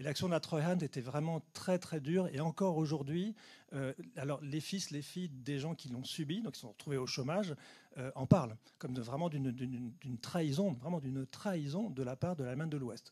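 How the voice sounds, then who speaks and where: A man speaks at a fairly high pitch, his tone dark and mellow. His voice is somewhat breathy. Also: ordinary pitch variation. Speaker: geographer giving a talk. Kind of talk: lecture Q&A answer. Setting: conference hall with audience. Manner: fast.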